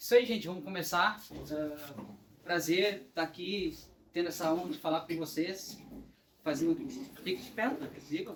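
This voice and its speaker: A man's high-pitched voice at a moderate pace, with ordinary pitch variation, big swings in loudness, long, frequent pauses, and noticeable background noise. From southern Brazil, Porto Alegre. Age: 20s. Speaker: workshop presenter. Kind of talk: workshop talk. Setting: workshop room with audience.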